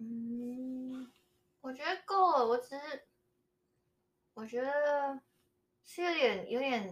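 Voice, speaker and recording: Her pace is very slow. The woman's voice sits high in pitch. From Taiwan. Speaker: podcast guest. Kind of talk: casual chat. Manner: halting.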